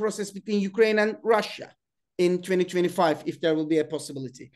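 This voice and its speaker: A man with a Turkish accent speaks with ordinary pitch variation. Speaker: webinar host and political science professor. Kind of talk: panel discussion moderation. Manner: halting.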